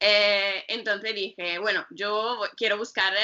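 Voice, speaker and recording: Speaking at a moderate pace with ordinary pitch variation, a woman talks with an Italian accent. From northern Italy, Bergamo. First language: Italian (speaking Spanish). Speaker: yoga teacher and writer. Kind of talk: interview. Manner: halting, many fillers. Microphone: connection cut out briefly.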